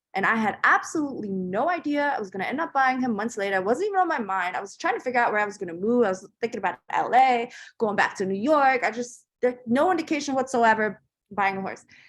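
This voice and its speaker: Talking at a very fast pace, a woman uses a fairly high pitch with very wide pitch swings. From Germany, then Northern Virginia from age 12. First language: German. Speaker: entrepreneur. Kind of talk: interview storytelling. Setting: podcast interview. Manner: casual with many fillers.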